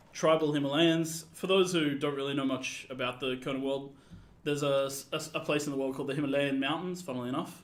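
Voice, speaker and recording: A man with a fairly high pitch talks at a very fast pace with fairly even intonation. Audible room echo surrounds his voice. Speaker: game developer and writer. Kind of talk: live stream gameplay commentary. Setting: live stream. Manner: loud.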